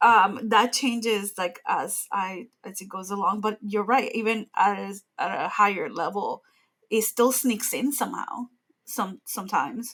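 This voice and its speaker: In an ordinary speaking voice, a woman talks at a fairly slow pace and a fairly high pitch with ordinary pitch variation. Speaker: animation professional and educator. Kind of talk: casual interview chat.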